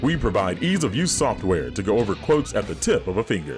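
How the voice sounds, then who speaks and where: A resonant man's voice with very wide pitch swings, a fairly quick pace and music in the background. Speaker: voice actor. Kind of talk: TV commercial read.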